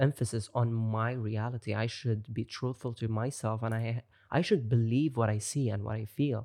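A man speaks at medium pitch and a fairly slow pace. The sound is dry and close with no echo, against a quiet background. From Gulf region, Middle East. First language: Arabic. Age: 20s. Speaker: brand manager and music producer. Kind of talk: casual interview chat.

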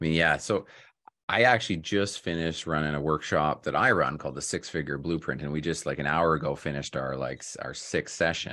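A man's very deep, low voice with a bright, sharp tone and vocal fry, fairly quick, with ordinary pitch variation over a quiet background. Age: 40s. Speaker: podcast host, real estate broker. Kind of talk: interview.

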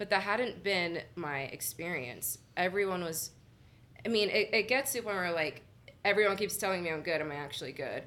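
A loud woman's voice, bright and sharp in tone, at a medium pitch with lively intonation and a fairly quick pace. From Miami, Florida (Little Havana). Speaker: poet and spoken word performer. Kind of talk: casual interview chat.

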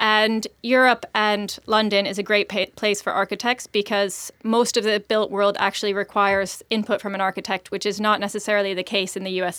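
A woman with an American accent at a medium pitch, bright, sharp tone, monotone, flat intonation and fairly quick pace on a very clean recording with a silent background. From US. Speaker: startup founder, CEO. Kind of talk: interview conversation.

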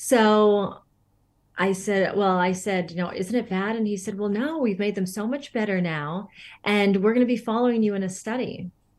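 Against a quiet background, a woman with an American accent speaks at a moderate pace and medium pitch in a normal speaking voice, with ordinary pitch variation. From Northern California. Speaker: holistic beauty coach. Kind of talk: interview.

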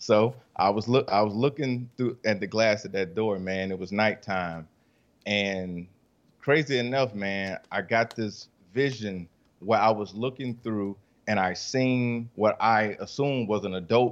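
Against a quiet background, a man speaks at a fairly slow pace in a fairly low pitch with ordinary pitch variation. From US South, Rock Hill, South Carolina. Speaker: author and coach. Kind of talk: casual interview.

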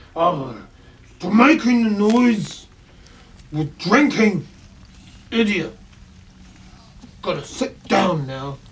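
A put-on, guttural character voice at a middle pitch, very slow pace and long, frequent pauses. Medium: actual play. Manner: broken, dumbed-down speech.

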